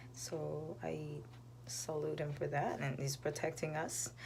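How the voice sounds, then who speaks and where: A soft-spoken woman talks at a fairly slow pace with a very deep, low pitch. Audible room echo surrounds her voice. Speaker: vlogger and singer. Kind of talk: casual live stream chat. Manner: hesitant, many fillers.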